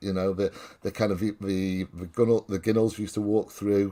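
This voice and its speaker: In a North Welsh accent, a man speaks at a fairly low pitch on a very clean recording with a silent background. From Wales (North Wales, near Chester). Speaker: football fan guest. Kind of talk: casual chat.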